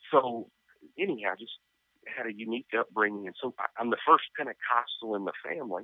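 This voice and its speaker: Moving at a moderate pace, a man talks in a normal speaking voice at a medium pitch. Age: 40s. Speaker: pastor. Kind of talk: interview.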